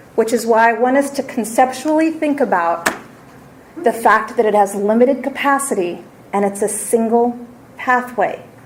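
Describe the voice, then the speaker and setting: Noticeable background noise sits under a woman's fairly high voice as she talks at a moderate rate. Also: ordinary pitch variation. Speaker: education policy presenter. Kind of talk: formal presentation.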